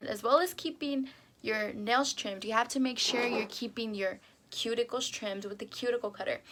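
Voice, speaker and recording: A fairly high-pitched woman's voice at a moderate pace, ordinary pitch variation, and noticeable background noise. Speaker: beauty YouTuber. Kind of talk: tutorial. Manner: hesitant.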